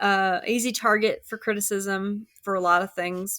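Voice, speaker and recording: A woman with an American accent speaks at a medium pitch in a bright, sharp tone, flat and monotone, at a fairly slow pace. The recording is very clean and dry, close with no echo, over a silent background. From US South, Richmond, Virginia. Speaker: podcast guest, traveler. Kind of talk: casual chat.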